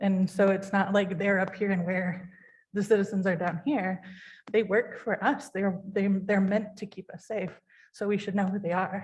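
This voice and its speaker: A woman's slightly airy voice moves at an average speed, her intonation staying mostly level. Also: medium pitch for a woman. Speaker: city commissioner. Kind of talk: public meeting discussion. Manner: hesitant, many fillers; shaky when passionate.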